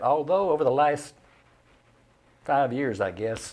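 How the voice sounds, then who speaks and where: Lively in intonation, a man of medium pitch speaks with a Southern US accent. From Middle Tennessee, Cookeville. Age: 80s+. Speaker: retired newspaper journalist. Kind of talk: casual interview chat. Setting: studio.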